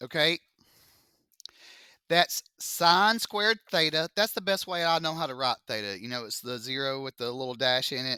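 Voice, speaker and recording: In a Southern US accent, a man with a fairly high pitch talks in a bright, sharp, animated tone with lively intonation, recorded dry and close with no echo against a silent background. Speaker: math teacher. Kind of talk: classroom lecture. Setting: classroom with students. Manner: slow.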